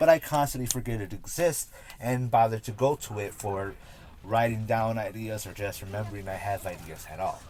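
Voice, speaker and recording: This man's voice sits at a medium pitch with ordinary pitch variation. His loudness swings widely over noticeable background noise. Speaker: gaming and cannabis youtuber. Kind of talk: casual vlog monologue. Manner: halting, self-correcting.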